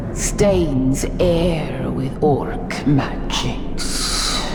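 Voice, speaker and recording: A put-on character voice against loud background noise. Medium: machinima. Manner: archaic inverted speech, halting.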